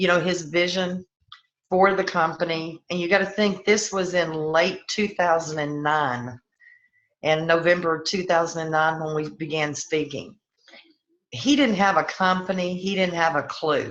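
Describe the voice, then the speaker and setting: A woman with a Southern US accent talks at a moderate pace in a fairly low pitch, with ordinary pitch variation. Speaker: network marketing business leader. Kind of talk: personal testimony on a team call.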